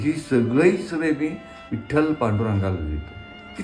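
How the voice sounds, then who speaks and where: Music plays in the background. Over it, a man speaks with very wide pitch swings. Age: 70s. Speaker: retired bus driver. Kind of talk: interview answer.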